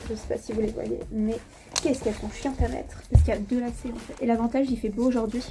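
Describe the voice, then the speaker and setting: A woman's high-pitched voice amid noticeable background noise. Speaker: vlogger. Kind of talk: vlog.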